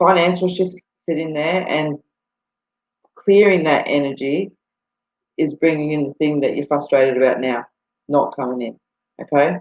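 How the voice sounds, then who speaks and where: A woman with an Australian accent, very deep, low pitch, ordinary pitch variation and a moderate pace broken by long, frequent pauses. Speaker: psychic medium. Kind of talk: live-stream psychic readings. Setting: live video stream from home computer. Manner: casual, many fillers.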